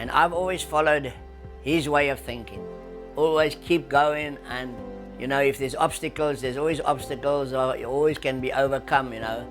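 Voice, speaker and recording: With music in the background, a man speaks at a moderate pace and fairly high pitch, his intonation fairly even. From South Africa. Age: 80s+. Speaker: surf industry veteran. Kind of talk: interview answer.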